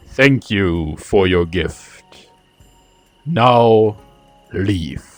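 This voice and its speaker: A man does a put-on character voice at a fairly low pitch, with faint music in the background. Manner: commanding, dismissive.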